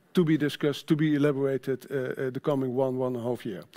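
Here a man with a Dutch accent speaks at a fairly high pitch. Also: quiet background. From Netherlands. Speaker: sustainability manager at a trade association; conference presenter. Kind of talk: conference presentation. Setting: stage with audience. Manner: halting. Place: stage.

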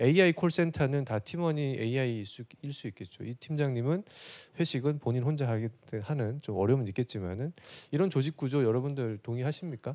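A man's dark, mellow voice at medium pitch, lively intonation and moderate pace, over a quiet background. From South Korea. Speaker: corporate digital executive; presenter. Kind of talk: conference presentation. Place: hall. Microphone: handheld.

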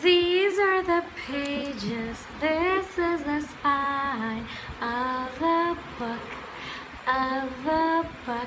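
A woman speaks at a high pitch and a very slow pace. Clear background noise runs underneath. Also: ordinary pitch variation.

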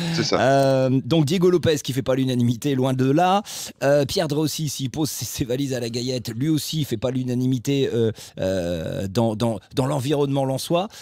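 A man at a moderate pace, with ordinary pitch variation and a dry sound with no echo. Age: 50s. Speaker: football podcast host. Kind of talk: casual chat. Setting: studio. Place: home room. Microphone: studio mic.

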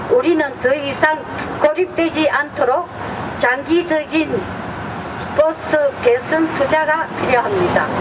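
Speaking very slowly with long, frequent pauses, a woman is heard through noticeable background noise. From Korea. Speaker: community activist, bus riders union member. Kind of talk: public speech at a rally. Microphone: handheld.

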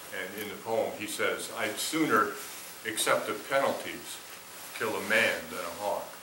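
Over noticeable background noise, a man with an American accent speaks at a fairly slow pace. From Minnesota, US. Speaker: poet. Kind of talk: poetry reading performed. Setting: theater with audience. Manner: measured, expressive. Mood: calm, reflective. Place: stage.

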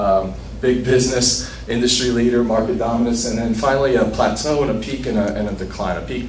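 The recording of this man carries light background noise and audible room echo. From Los Angeles, south side. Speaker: conference speaker. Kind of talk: short talk to audience.

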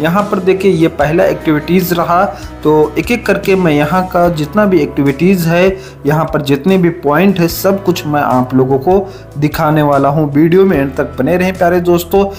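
Faint music plays in the background. The speech moves at a fairly slow pace. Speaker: travel vlogger. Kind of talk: tour guide vlog narration. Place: garden.

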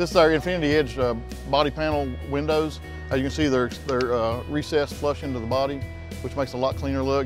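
A man's voice swings very widely in pitch, recorded dry with no echo. Clear music plays in the background. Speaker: ambulance sales director. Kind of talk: product walkaround tour. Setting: trade show floor. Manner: fast. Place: hall.

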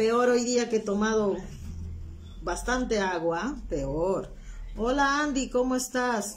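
A woman's fairly high voice at a very slow pace, with lively intonation, very even loudness, long, frequent pauses and light background noise. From Peru, Huancayo; Peru. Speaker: craft instructor. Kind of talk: live-stream craft tutorial. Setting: live stream from home, not her workshop. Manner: chatty, informal. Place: home room. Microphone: phone near.

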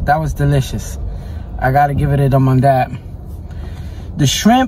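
Very deep, low male voice against noticeable background noise. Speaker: food vlogger. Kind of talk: casual vlog chat. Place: car. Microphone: phone near.

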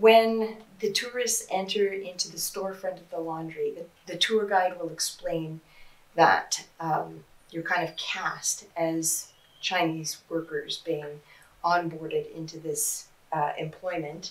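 Speaking very slowly, a woman uses a fairly low pitch and fairly even intonation. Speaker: interviewee. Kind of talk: interview answer. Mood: calm, critical explanation. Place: office.

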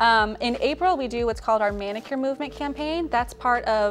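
A woman at a very fast pace with clear music in the background. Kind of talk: interview answer. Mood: warm, earnest. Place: studio.

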